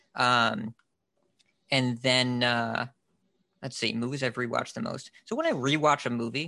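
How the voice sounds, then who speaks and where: Over a quiet background, a man with an American accent speaks at medium pitch in a bright, sharp tone with ordinary pitch variation. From US Northeast. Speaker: podcast host and card game commentator. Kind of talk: casual chat.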